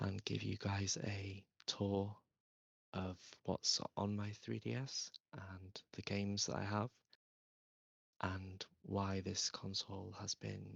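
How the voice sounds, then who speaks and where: Someone is whispering in a soft-spoken way. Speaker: ASMR creator. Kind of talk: ASMR whispered gaming tour. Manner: soft-spoken, whispered.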